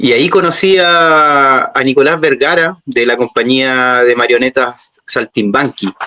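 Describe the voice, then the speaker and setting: A man with a Chilean accent talks at a fairly slow pace with hardly any pauses, his medium pitch showing ordinary pitch variation and his loudness very even, in a dry, close sound with no echo. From Chile, Santiago. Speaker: puppeteer. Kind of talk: interview. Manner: hesitant, many fillers.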